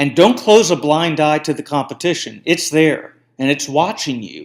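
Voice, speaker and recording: In a very clean recording with a silent background, a man with a fairly high pitch and ordinary pitch variation speaks at a moderate pace in a normal speaking voice. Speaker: marketing podcast host. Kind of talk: solo podcast monologue.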